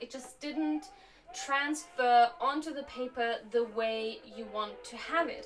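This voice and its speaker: A woman with a Slovak accent speaks at a high pitch with lively intonation over noticeable background noise. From Germany. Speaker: motion graphics teacher and streamer. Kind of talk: casual live stream chat. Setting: home live stream while doing macrame. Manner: relaxed, conversational with fillers.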